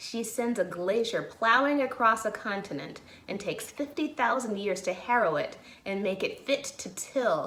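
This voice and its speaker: Talking at a fairly slow pace with a fairly high pitch, a woman in an American accent is heard over noticeable background noise. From Chicago area, USA. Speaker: actor. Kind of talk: dramatic reading of a historic courtroom closing argument.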